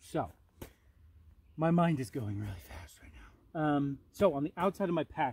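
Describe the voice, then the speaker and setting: At a moderate pace, a man with a fairly high pitch speaks in a dark, mellow, somewhat breathy tone, captured as a dry, close sound with no echo in a very clean recording with a silent background. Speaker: outdoor gear vlogger. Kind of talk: gear review monologue outdoors. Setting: outdoors in forest. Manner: filler-heavy, halting.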